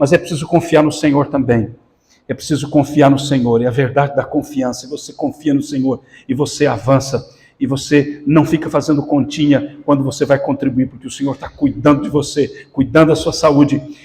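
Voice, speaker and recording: A man with a dark, mellow tone and a fairly high pitch talks at a moderate pace, somewhat breathy and in a flat monotone. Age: 60s. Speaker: pastor. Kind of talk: sermon.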